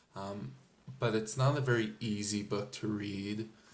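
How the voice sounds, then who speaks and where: Audible room echo surrounds a man whose pitch is fairly low. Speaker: book reviewer. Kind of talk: casual book review. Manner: hesitant, many fillers.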